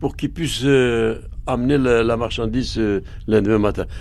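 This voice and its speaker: A man speaks with ordinary pitch variation. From Bulgaria, Armenian family. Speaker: Armenian immigrant witness. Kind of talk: testimony.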